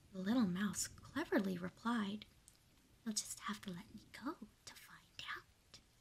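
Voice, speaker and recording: In a plain, everyday voice, a woman talks fairly slowly at a medium pitch, with ordinary pitch variation and big swings in loudness. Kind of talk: calm narration of a children's story, bedtime story reading.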